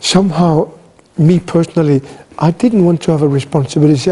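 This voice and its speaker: A man talks at a fairly quick pace with ordinary pitch variation. Noticeable background noise sits behind him. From Greenland. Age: 60s.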